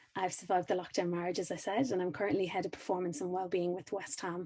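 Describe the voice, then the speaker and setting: The voice has a dark, mellow tone and an Irish accent. It moves at a very fast pace with fairly even intonation. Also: woman. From Ireland. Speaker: high performance coach. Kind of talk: conference talk.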